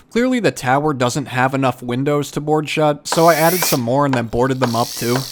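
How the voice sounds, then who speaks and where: Noticeable background noise sits underneath. A man talks over it at a moderate pace. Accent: American. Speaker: craft YouTuber. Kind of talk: narrated craft tutorial.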